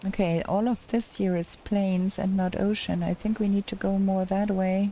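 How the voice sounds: The woman's voice sits at a medium pitch with a dark, mellow tone. Her intonation is fairly even and her pace moderate.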